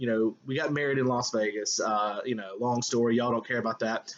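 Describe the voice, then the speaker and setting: A man speaks in a Southern US accent at a fairly quick pace. His pitch is medium and his intonation is monotone and flat. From US South. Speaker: high school English teacher. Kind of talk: lecture. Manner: casual, hesitant with fillers.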